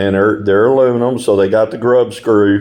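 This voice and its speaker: A man speaks in a medium pitch. His intonation stays fairly even. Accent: East Texas. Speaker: hobbyist video maker. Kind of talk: tutorial. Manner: casual, halting with repeated words.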